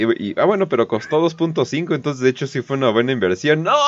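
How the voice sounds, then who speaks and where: Here a man speaks with a Mexican accent. His fairly high voice carries lively intonation. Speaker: streamer and podcast host. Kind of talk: casual chat. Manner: animated.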